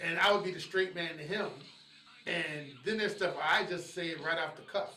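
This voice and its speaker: Over noticeable background noise and audible room echo, a man with a high voice talks with fairly even intonation. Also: moderate pace. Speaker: hip hop radio DJ. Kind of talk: interview conversation. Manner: casual, repetitive stammering.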